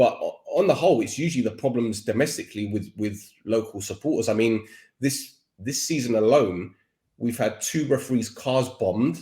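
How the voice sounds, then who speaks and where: Somewhat breathy, a man with a medium pitch and a dark, mellow tone talks at a moderate pace with ordinary pitch variation. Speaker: football podcaster. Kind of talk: casual chat.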